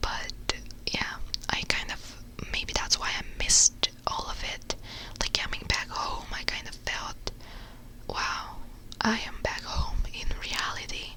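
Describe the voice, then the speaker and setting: Someone whispers in a relaxed tone at a fairly slow pace. Noticeable background noise sits behind the voice. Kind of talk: ASMR whisper ramble, casual talk to camera. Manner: whispered, soft; relaxed, chatty.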